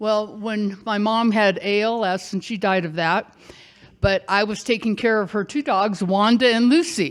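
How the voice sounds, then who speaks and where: A woman's fairly high voice with ordinary pitch variation at a fairly slow pace. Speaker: storyteller. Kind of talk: live storytelling. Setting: stage with audience. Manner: animated.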